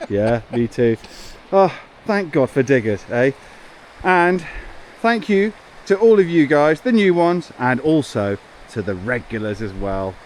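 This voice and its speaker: A man with a fairly high voice speaks at a fairly slow pace with long, frequent pauses and very wide pitch swings over noticeable background noise. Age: 40s. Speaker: homestead renovation vlogger. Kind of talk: casual vlog chat.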